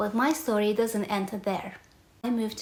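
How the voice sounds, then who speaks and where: A woman with a Romanian accent speaks at a medium pitch and a moderate pace. Noticeable background noise is present. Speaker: podcast host, reputation coach. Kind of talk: personal storytelling monologue.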